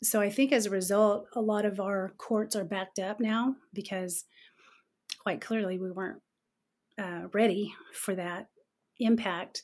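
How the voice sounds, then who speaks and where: In a very clean recording with a silent background, a woman speaks with an Oklahoma accent. Her pace is fairly slow and her intonation fairly even. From Oklahoma, Okmulgee County. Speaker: political candidate. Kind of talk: interview.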